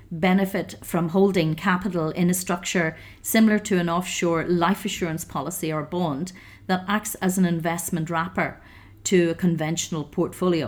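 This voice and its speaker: Speaking in a Northern Irish accent at a moderate pace, a woman with a fairly low pitch is heard on a very clean recording with a silent background. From Northern Ireland, County Down. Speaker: financial advisor. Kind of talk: interview. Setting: hotel.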